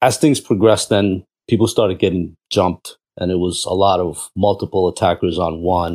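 A man's dark, mellow voice with a New York accent, at a fairly quick pace, on a very clean recording with a silent background. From Queens, New York (born in Cuba). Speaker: cybersecurity leader, former DEA. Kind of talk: casual interview chat.

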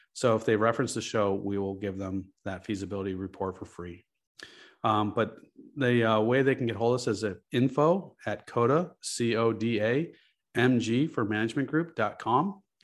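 With an American accent, a man talks in an unremarkable speaking voice at medium pitch and a moderate pace, with ordinary pitch variation against a quiet background. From Chicago. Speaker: architect and self-storage investor. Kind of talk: interview.

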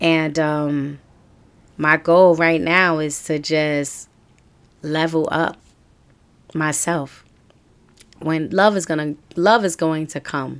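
A woman with an American accent talks very slowly in a very deep, low voice, her intonation fairly even and her speech broken by long, frequent pauses. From New York City, Bronx. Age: 40s. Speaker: podcast host. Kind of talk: casual monologue.

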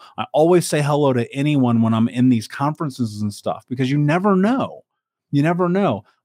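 With a normal speaking voice, a man talks in a fairly high pitch with lively intonation. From US Midwest, Indianapolis. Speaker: trauma coach. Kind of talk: casual chat. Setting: video call.

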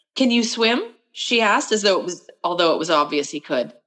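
Lively intonation and a quiet background while reading aloud in a natural voice

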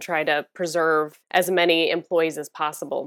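In an American accent, a woman with an unremarkable speaking voice and fairly low pitch talks at a moderate pace, the sound dry and close with no echo on a very clean recording with a silent background. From Florida. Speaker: business incubator president. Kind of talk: interview.

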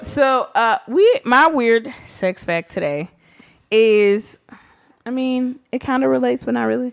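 A woman with a Southern US accent at a fairly slow pace. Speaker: podcast host. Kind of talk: casual chat.

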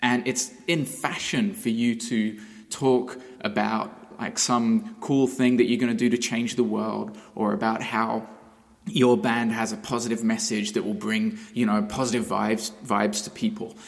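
A man speaks at a fairly slow pace with a British accent. Noticeable background noise runs behind him. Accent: putting on a British accent today. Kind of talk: casual podcast discussion.

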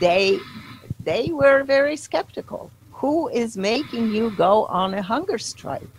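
A woman speaks at a very slow pace, her pitch swinging very widely. Noticeable background noise runs underneath. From Poland. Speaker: activist writer. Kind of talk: interview.

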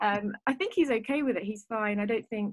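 With ordinary pitch variation, a plain, everyday voice speaks at a moderate speed. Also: woman. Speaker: reality show winner. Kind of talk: casual interview.

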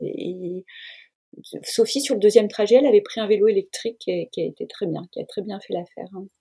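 Her voice comes through dry and close. No echo trails the sound from this woman. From France, Burgundy (Auxerre area). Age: 50s. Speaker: cycle traveller. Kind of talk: interview testimony.

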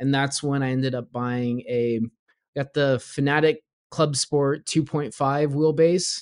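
With an American accent and a normal speaking voice, a man talks at a fairly slow pace and a fairly high pitch, his intonation fairly even. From Southern California, US. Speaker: YouTuber and sim racer. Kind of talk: casual interview chat.

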